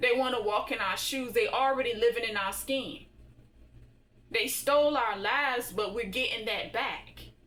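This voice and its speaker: Amid audible room echo, a woman with a bright, sharp tone and fairly high pitch speaks at a fairly slow pace. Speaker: spiritual tarot reader. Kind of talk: tarot reading monologue.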